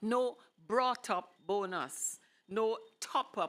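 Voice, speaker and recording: Very clean recording with a silent background, carrying a woman's bright, sharp tone. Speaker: poetry reader at a tribute event. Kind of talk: reading poetry aloud.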